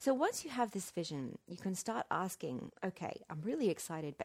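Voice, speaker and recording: A plain, everyday voice. The intonation is lively. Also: woman. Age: 40s. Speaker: podcast host and business strategist. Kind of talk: solo podcast monologue. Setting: outdoors on a deck.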